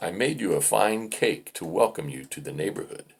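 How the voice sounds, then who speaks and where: Putting on a character voice, a man growls and rumbles at a medium pitch and a moderate pace. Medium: read story. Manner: growling, grumbling.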